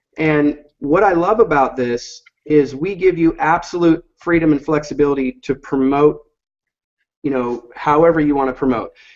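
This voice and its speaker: Fairly high-pitched, a man talks at a moderate pace with ordinary pitch variation. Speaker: online marketing presenter. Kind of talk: software demo webinar. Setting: online video call. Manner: hesitant, many fillers.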